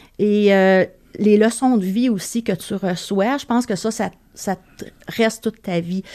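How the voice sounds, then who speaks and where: On a very clean recording with a silent background, a woman speaks fairly slowly at a medium pitch in a dark, mellow tone, leaving long, frequent pauses. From Quebec, Montreal. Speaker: veterinary receptionist, former flight attendant. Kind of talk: casual chat.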